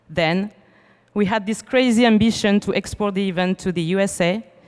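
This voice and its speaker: A woman's medium-pitched voice with a French accent, moderate pace and ordinary pitch variation. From France. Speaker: event organizer. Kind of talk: welcome speech read aloud. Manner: reading from script.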